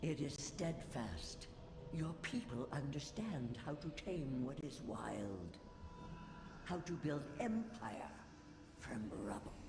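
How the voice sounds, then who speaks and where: A man talks very slowly in a put-on character voice, with long, frequent pauses. Clear echo and loud background noise fill the recording. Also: fairly high pitch for a man. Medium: video game. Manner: commanding, disdainful.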